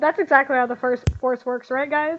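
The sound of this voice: A woman talks at a high pitch with fairly even intonation. Her pace is fairly quick.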